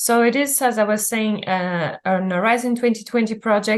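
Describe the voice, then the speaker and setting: A woman speaks with a Portuguese accent at a fairly high pitch. Her pitch varies in an ordinary way against a quiet background. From Azores, Portugal. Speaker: research officer. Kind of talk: webinar presentation. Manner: halting.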